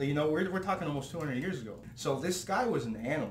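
Audible room echo and light background noise surround a man speaking with a Canadian accent. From Hamilton, Ontario, Canada; Ontario. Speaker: podcast host or guest. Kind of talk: casual interview. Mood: relaxed, friendly. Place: home room.

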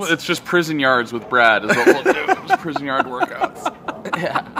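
There is noticeable background noise as a man with a fairly high pitch speaks at a moderate pace. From New England (Rhode Island). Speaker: comedian. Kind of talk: casual chat. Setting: coffee shop with live audience. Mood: joking, laughing. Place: garden.

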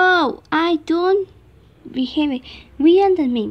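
A woman's cartoonish character voice at an extremely high pitch, slow in pace, with lively intonation

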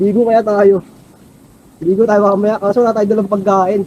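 The voice has a dark, mellow tone delivered in a monotone, flat intonation. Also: man. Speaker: travel vlogger. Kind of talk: vlog narration. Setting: outdoors, cycling.

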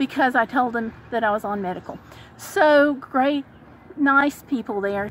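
A woman at a moderate pace with lively intonation, dry sound with no echo, and light background noise. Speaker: vlogger. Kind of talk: casual vlog chat. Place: car. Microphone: phone near.

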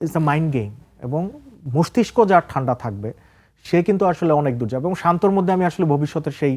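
In a normal speaking voice, a man with a fairly high pitch talks with lively intonation on a very clean recording with a silent background. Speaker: senior sports journalist. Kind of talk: studio talk show interview. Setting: TV studio.

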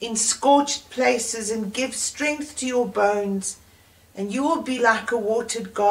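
Natural-voiced reading aloud, pitch varying in an ordinary way

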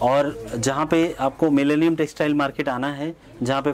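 A man at a fairly slow pace, fairly even intonation, light background noise. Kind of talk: promotional presentation. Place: shop. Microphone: lapel.

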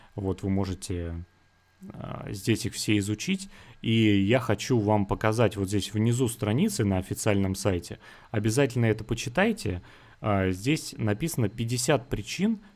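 In an ordinary speaking voice with ordinary pitch variation, the speech sits on a very clean recording with a silent background. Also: man. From Russia, Saint Petersburg. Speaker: online recruiter promoting a donation scheme. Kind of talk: screen-share sales pitch.

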